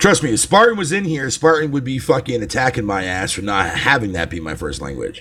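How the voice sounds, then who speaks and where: A man talks at a fairly quick pace with hardly any pauses, in an animated tone with very wide pitch swings. Noticeable background noise can be heard. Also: medium pitch for a man. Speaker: gaming livestreamer. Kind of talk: casual live stream chat. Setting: live stream.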